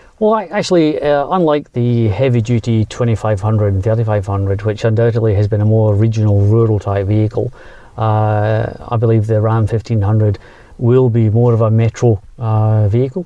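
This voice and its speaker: The man talks at a fairly quick pace with fairly even intonation and very even loudness. Noticeable background noise is present. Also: medium pitch for a man. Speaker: automotive executive. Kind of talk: interview. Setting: outdoors in countryside. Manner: hesitant, many fillers.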